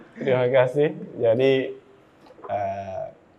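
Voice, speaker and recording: Amid noticeable background noise, a man speaks fairly slowly at a medium pitch with fairly even intonation. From Central Sulawesi, Indonesia (Luwuk, Banggai). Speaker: civil engineer, discussion panelist. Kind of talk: panel discussion.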